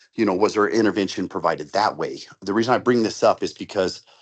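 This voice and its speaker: A man speaks at a fairly quick pace with a fairly low pitch. His intonation stays fairly even against a quiet background. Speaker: committee member, medical responder. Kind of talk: committee meeting discussion. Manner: fast.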